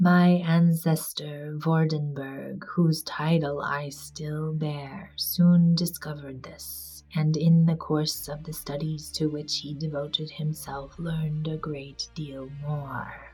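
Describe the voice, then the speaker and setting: Over background music, a woman speaks very slowly with hardly any pauses, her very deep, low voice flat and monotone yet swinging widely in loudness. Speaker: amateur reader. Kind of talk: audiobook reading.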